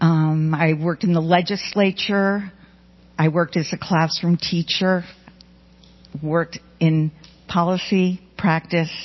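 A woman with a fairly low pitch speaks at a fairly slow pace in a monotone, flat intonation, with very even loudness and long, frequent pauses. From New York. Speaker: education researcher and professor. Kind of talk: panel talk.

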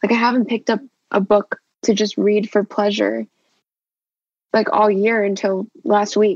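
A woman speaks with an American accent at a medium pitch. She has an ordinary speaking voice. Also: dry, close sound with no echo. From Los Angeles, California. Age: 21. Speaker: student. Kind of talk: casual group discussion.

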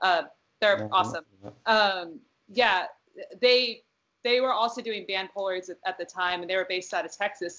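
This woman has a normal speaking voice, medium in pitch, with fairly even intonation at a moderate pace. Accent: American. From US West Coast. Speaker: music photographer. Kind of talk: casual chat.

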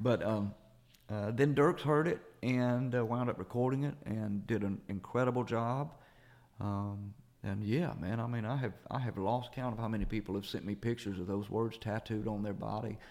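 This man talks at a moderate pace with a Southern US accent, his pitch medium and its variation ordinary. The recording is very clean, with a silent background. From US South, Jackson, Mississippi. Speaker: singer-songwriter. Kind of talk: interview.

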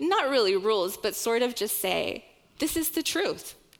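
A woman's plain, everyday voice with an American accent, fairly high pitch and lively intonation. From Oklahoma, US. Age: 30s. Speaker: church ministry director. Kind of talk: sermon.

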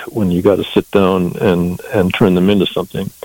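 A man with an American accent at a fairly low pitch, amid noticeable background noise. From US Southwest, southern Colorado. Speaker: musician and songwriter. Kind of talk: interview. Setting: phone call. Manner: halting, many repeated words.

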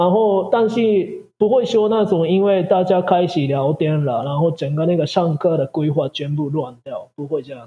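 A man with a Japanese accent, high-pitched, at a moderate pace with hardly any pauses and ordinary pitch variation. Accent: Japanese-accented Mandarin. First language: Japanese (speaking Chinese). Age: 40s. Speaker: Japanese language teacher. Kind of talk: interview. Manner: halting.

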